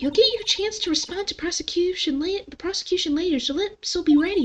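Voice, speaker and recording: A woman's put-on, squeaky character voice at an extremely high pitch, very fast, with big swings in loudness. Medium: virtual streamer. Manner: calm, instructive.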